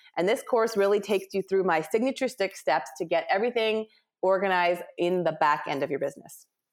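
A woman with a Canadian accent uses a plain, everyday voice at medium pitch, speaking at a fairly quick pace with lively intonation and very even loudness on a very clean recording with a silent background. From Canada, Ontario. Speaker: business organizer and author. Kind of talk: interview, casual chat.

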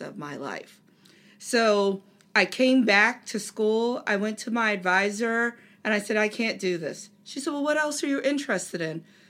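In a very clean recording with a silent background, a woman with an American accent and an unremarkable speaking voice talks at a moderate pace with lively intonation. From Delaware, US. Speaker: marketing professor. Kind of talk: interview.

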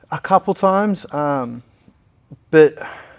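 A man talks with an Australian accent. His pitch varies in an ordinary way. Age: 20s. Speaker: mixed martial artist. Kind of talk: casual interview.

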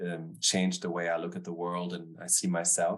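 A man is speaking with a German accent. His pace is moderate. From Germany, Stuttgart. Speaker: business founder and author. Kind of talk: interview. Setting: remote call.

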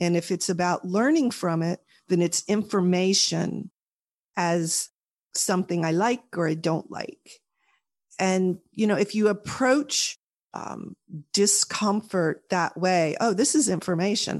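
A woman's normal speaking voice at a fairly slow pace, with ordinary pitch variation. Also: medium pitch for a woman. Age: 50s. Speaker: author. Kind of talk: interview.

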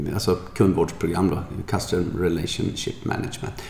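A man talks over noticeable background noise, with audible echo from the room. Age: 50s. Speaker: podcast co-host and yoga trainer. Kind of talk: casual chat.

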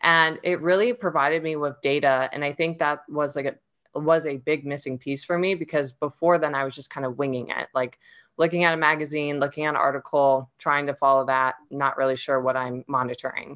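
With a Midwestern US accent, the speaker moves at a fairly quick pace with fairly even intonation. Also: woman, very deep, low pitch for a woman. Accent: General American, Midwestern. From US Midwest, Ohio. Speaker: nutrition and fitness coach. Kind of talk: casual interview chat. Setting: video call.

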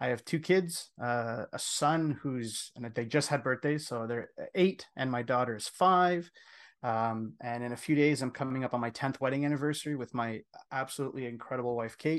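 A man with a Canadian accent speaks in a normal speaking voice at medium pitch, with ordinary pitch variation, a moderate pace and a quiet background. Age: 40s. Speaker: men's coach. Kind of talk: interview.

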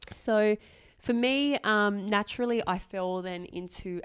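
An Australian accent at a fairly slow pace, ordinary pitch variation, and a dry, close sound with no echo. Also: woman. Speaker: doctor and podcast co-host. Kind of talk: casual chat.

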